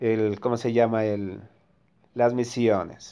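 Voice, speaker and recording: A man talks in an animated tone at a medium pitch. The recording is very clean, with a silent background. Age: 50s. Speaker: mobile game youtuber. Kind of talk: gameplay commentary.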